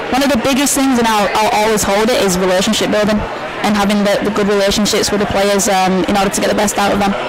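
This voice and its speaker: Noticeable background noise fills the clip. The talking itself is very fast. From northern England, Huddersfield, West Yorkshire. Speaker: college soccer coach. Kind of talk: interview. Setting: live show in a restaurant.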